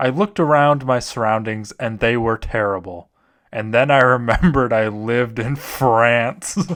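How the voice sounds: The pitch moves in an ordinary way. The voice is a natural reading one.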